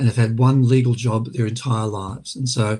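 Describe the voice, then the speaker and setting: A man with an Australian accent speaks at a moderate pace in a medium pitch, his tone dark and mellow, somewhat breathy, with fairly even intonation. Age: 60s. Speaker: former mental health commissioner, lawyer. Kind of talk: webinar panel talk. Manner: halting, many fillers.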